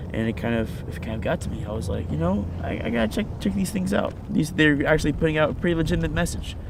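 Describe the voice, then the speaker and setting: Very fast male speech with very wide pitch swings, noticeable background noise and audible room echo. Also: medium pitch for a man. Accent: American. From Virginia, US. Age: 20s. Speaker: activist. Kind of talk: interview testimony. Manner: halting, many fillers and repeats.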